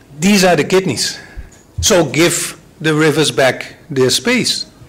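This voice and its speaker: Very slow speech from a man, with noticeable background noise behind it. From Netherlands. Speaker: water management expert. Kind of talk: conference presentation.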